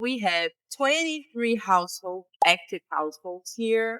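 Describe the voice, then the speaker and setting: A woman in a Portuguese accent speaks fairly slowly with a fairly high pitch and a bright, sharp tone, recorded with a dry, close sound and no echo. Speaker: gaming YouTuber. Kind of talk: game tutorial/walkthrough. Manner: casual, hesitant with fillers.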